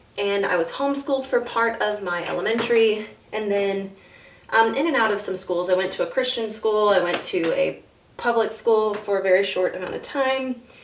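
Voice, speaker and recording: A woman with an American accent speaks at a moderate pace and a fairly high pitch, varying it in an ordinary way. Audible room echo and noticeable background noise surround her voice. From US South (Florida and north Georgia). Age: 30s. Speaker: mom vlogger. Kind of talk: casual vlog talk to camera.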